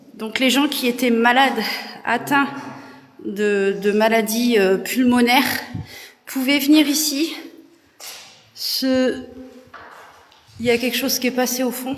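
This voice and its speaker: Through audible room echo and noticeable background noise, a woman with a high pitch speaks very slowly, with long, frequent pauses. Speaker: urban explorer and paranormal live streamer. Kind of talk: live stream tour. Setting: abandoned sanatorium, indoors. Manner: casual, hesitant with many fillers.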